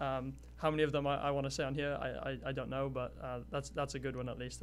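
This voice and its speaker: A man talks very fast in a Welsh accent. Music plays in the background, and room echo is audible. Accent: Welsh, still noticeable. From Wales. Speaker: college athlete. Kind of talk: interview. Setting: studio. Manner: halting, many fillers.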